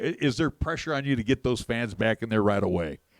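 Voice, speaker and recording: A man with an unremarkable speaking voice talks at a moderate pace with lively intonation. The sound is dry and close, with no echo. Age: 60s. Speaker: sports radio host. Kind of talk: radio interview.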